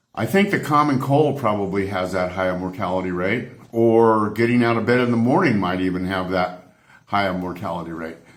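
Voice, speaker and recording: With an American accent, a man talks fairly quickly in a fairly low pitch, and the room echo is audible. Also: ordinary pitch variation. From United States. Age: 70s. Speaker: travel vlogger. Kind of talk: opinionated rant to camera. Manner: animated, exasperated.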